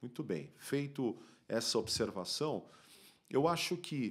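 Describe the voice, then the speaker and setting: A man is speaking. The background is quiet. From Brazil, São Paulo (Bom Retiro); São Paulo, Brazil. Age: 50s. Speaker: podcast guest. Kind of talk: interview. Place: studio. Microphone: studio mic.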